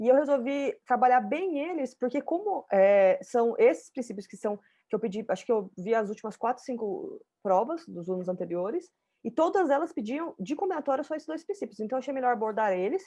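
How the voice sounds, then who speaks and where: This woman has a high pitch with very wide pitch swings and a dark, mellow tone. She speaks at a fairly quick pace. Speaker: math teacher. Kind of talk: online lecture. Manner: fast.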